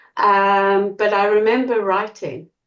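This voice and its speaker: A woman speaks with a slight South African accent. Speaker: small business owner. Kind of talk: group discussion.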